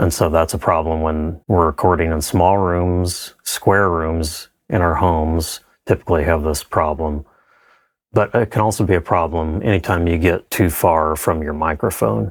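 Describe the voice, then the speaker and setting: This man's very deep, low voice moves at a moderate pace with fairly even intonation. The recording is very clean, with a silent background. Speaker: audio engineering tutor. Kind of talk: tutorial. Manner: casual.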